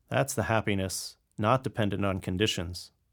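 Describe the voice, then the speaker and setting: A man with a gentle tone and vocal fry speaks at a moderate pace on a very clean recording with a silent background. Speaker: meditation teacher. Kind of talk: guided meditation. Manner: gentle, with long pauses.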